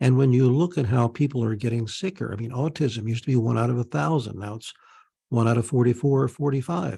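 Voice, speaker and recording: A man talks at a very fast pace, his voice somewhat breathy with a dark, mellow tone. His pitch is medium, with ordinary variation. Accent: American. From Pennsylvania, US. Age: 60s. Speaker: naturopath. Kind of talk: interview with screen-share presentation.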